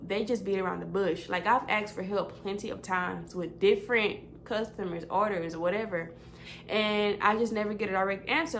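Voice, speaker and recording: Speaking with an animated tone and ordinary pitch variation, a woman of medium pitch talks at a moderate pace amid audible room echo. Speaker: vlogger and customer service representative. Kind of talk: casual chat.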